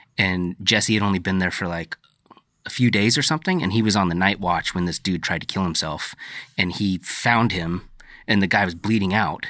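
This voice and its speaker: A man's very deep, low voice has a bright, sharp tone. His pitch varies in an ordinary way. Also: moderate pace. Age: 30s. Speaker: podcast host. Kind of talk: casual interview. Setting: in person.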